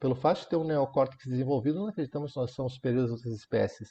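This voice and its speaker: Somewhat breathy, a man speaks with a dark, mellow tone at a medium pitch and ordinary pitch variation. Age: 60s. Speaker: Zen monk. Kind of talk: talk on Zen practice.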